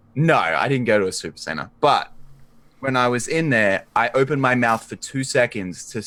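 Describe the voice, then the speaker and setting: A man with an Australian accent, ordinary pitch variation, and a very clean recording over a silent background. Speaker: tabletop game player. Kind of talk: casual chat. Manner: animated.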